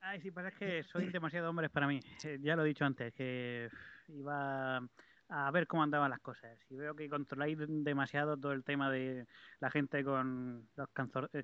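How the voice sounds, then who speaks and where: A plain, everyday voice at a moderate pace. Its intonation stays fairly even. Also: man, fairly high pitch for a man. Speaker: regular listener. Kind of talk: casual chat. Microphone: distant, muffled line.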